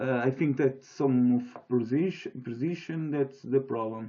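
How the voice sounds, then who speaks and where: A man with a Portuguese accent speaks at a very slow pace. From Portugal. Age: 20s. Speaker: software developer. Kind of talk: software demo tutorial. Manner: halting, many fillers and restarts.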